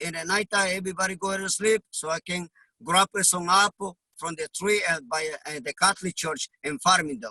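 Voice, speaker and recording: A man with a high pitch and a bright, sharp tone uses a raised, projected voice at a moderate pace and fairly even intonation, the sound dry and close with no echo. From Honduras. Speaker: immigrant delivery truck driver. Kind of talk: interview.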